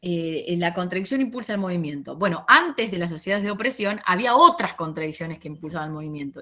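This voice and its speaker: A woman talks at a fairly quick pace with lively intonation. Her tone is bright and sharp. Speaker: sociology teacher. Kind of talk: lecture over video call. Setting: video call. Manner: fast; halting, many fillers.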